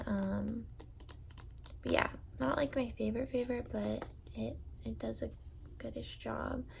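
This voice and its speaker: A soft-spoken woman talks at a fairly slow pace. She leaves long, frequent pauses. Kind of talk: ASMR product ramble.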